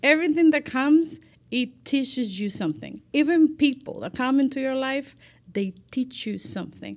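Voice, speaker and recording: With a Spanish accent, a woman talks at a moderate pace in a high voice, her intonation lively and her loudness swinging widely, on a very clean recording with a silent background. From Cuba, Santiago de Cuba. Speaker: life manager. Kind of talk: casual chat.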